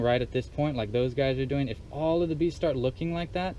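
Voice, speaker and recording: A normal speaking voice moves at a fairly quick pace. Its pitch varies in an ordinary way. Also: man. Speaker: beekeeper. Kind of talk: tutorial.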